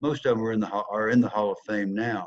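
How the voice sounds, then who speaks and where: Speaking with a Southern US accent, a man talks at a medium pitch. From US South. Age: 70s. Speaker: former football player, speaker. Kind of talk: motivational talk.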